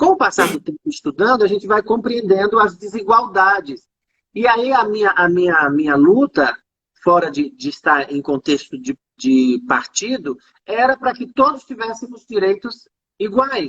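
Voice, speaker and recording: At a moderate pace, a woman at a medium pitch makes very wide pitch swings, heard with a dry, close sound and no echo. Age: 40s. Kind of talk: casual chat. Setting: live video call.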